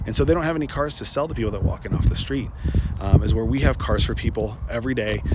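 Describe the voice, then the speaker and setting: With audible room echo and noticeable background noise, a man rattles along at a very rapid rate. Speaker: car salesperson and video host. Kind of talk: casual explainer video. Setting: outdoors on a dealership lot. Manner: halting, many fillers.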